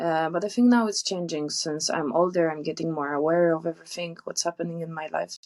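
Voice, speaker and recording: A woman with a Polish accent talks fairly quickly with hardly any pauses. Her pitch is fairly low and her intonation fairly even. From Poland. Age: 20s. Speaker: traveller. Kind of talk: interview.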